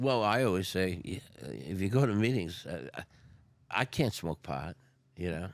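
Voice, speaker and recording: A man with a very deep, low pitch and vocal fry speaks at a fairly slow pace with lively intonation. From North Jersey. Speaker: recovering addict, retired restaurateur. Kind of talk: podcast interview. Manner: casual.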